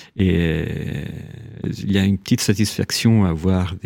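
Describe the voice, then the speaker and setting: A man speaks with an Italian accent in a very deep, low pitch and a dark, mellow tone. His pitch varies in an ordinary way, and the recording is very clean with a silent background. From Italy, Rome. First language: Italian (speaking French). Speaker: writer. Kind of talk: interview. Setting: radio studio. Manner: halting, many repetitions.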